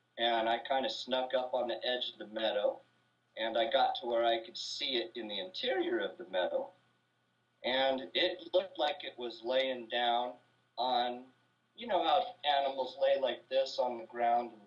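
At a moderate pace, a man talks with ordinary pitch variation and big swings in loudness. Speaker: guest. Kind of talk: interview answer. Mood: animated, suspenseful telling. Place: home room. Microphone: video call.

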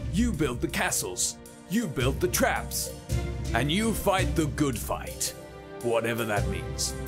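A man speaks in a playful tone at a very slow pace. Music plays in the background. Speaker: voice-over artist. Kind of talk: humorous video game trailer narration. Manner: tongue-in-cheek, playful.

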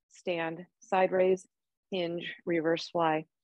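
A woman speaking at a very slow pace, the sound dry with no echo. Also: quiet background. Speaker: fitness instructor. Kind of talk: workout instruction. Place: home room.

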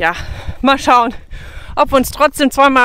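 At a moderate pace, a woman speaks with a high pitch in a dry sound with no echo. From western Germany, Münsterland (Kreis Borken, NRW); North Rhine-Westphalia, Germany. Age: 30s. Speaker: travel vlogger on a long-distance hike; travel vlogger. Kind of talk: casual travel vlog talk to camera. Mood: relaxed, cheerful. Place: open country. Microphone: phone near.

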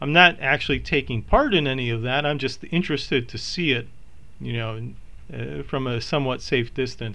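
With an American accent and vocal fry, a man talks at a fairly quick pace in a bright, sharp tone, with medium pitch and ordinary pitch variation. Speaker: psychology lecturer. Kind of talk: lecture.

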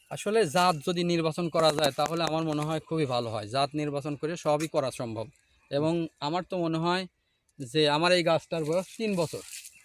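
Ordinary pitch variation on a very clean recording with a silent background, the sound dry and close with no echo. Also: man, fairly high pitch for a man. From Bangladesh, Kushtia district. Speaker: farmer. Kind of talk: interview. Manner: halting.

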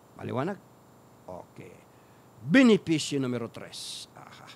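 The speaker is a man. His voice leaps through very wide pitch swings. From Philippines. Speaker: Islamic preacher and radio program host; Islamic preacher, radio program host. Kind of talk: religious lecture. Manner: animated. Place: studio. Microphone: studio mic.

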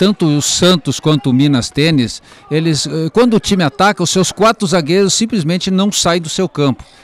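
The sound is dry and close with no echo, though noticeable background noise is present. A man with a fairly high pitch talks at a moderate pace with lively intonation. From southern Brazil (Rio Grande do Sul). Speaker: football commentator. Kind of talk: live commentary. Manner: halting, repeats words.

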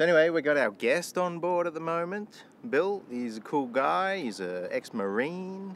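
Light background noise sits under a dry sound with no echo. A man with a high pitch talks at a moderate pace. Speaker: sailing vlogger. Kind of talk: casual vlog chat. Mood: relaxed, cheerful. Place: boat. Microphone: phone near.

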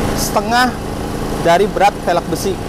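Loud background noise runs under a dry sound with no echo as the speaker goes at a fairly slow pace. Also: man. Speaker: wheel distributor representative. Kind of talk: product explanation. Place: open country.

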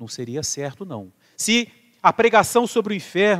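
A man with a Brazilian accent speaks in a high pitch. His tone is calm and the background is quiet. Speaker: priest. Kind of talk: sermon. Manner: formal, earnest; calm, measured, pastoral. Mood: earnest, serious. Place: church.

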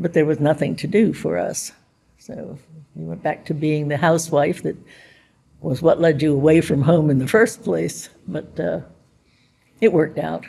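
A woman with an American accent speaks in a very deep, low pitch with a dark, mellow tone and vocal fry. Her pace is moderate, her pitch variation ordinary, and her pauses long and frequent. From US, Pittsburgh. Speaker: WWII navy codebreaker veteran. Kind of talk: oral history interview. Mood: warm, reflective. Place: hall.

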